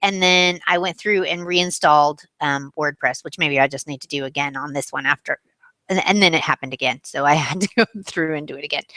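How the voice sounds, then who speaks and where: A woman puts on a raspy character voice with a very deep, low pitch, speaking at a fairly quick pace in a dry, close sound with no echo. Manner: talking really fast.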